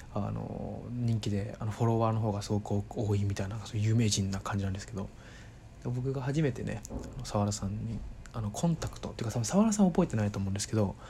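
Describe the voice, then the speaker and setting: The man talks at a very fast pace. His pitch is fairly low with ordinary variation. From Kanto, Japan (Saitama/Tokyo). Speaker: podcaster. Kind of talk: casual monologue. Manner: halting, many fillers.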